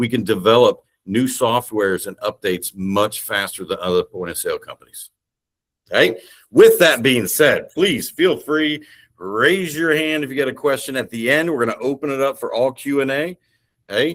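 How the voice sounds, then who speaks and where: Animated and fairly high-pitched, a man with an Indiana accent speaks with lively intonation in a dry, close sound with no echo. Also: moderate pace. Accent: Midwestern (Hoosier). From Indiana, US Midwest. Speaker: sales director. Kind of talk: business presentation. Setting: video call.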